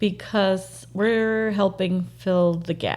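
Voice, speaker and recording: With a Spanish accent, a woman speaks at a fairly low pitch in a dark, mellow tone on a very clean recording with a silent background. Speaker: real estate agent. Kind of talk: podcast interview.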